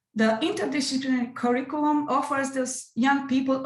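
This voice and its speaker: The pace is moderate. A non-native accent colors the speech. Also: woman. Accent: non-native English pronunciation. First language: Romanian. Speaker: music educator presenting at an academic conference. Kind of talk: conference presentation.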